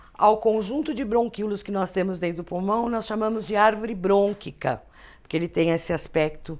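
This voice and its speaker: At a moderate pace, a woman with a medium pitch and ordinary pitch variation speaks on a very clean recording with a silent background. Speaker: teacher. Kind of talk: lecture. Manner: conversational.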